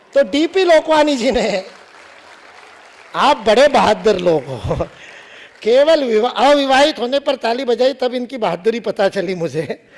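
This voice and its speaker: Against noticeable background noise, a man with an extremely high pitch for a man speaks in an animated tone with lively intonation. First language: Marathi (speaking Hindi). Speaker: invited speaker and author. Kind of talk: lecture. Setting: stage with audience.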